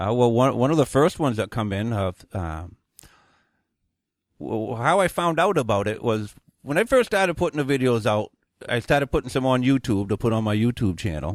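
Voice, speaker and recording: In a Maine accent, a man with a medium-pitched voice speaks at a fairly quick pace with lively intonation. Long, frequent pauses break up his speech, heard in a dry, close sound with no echo. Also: very clean recording, silent background. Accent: Maine rural New England. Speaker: viral weathercaster and deer hunter. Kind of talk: interview answer. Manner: casual, blunt.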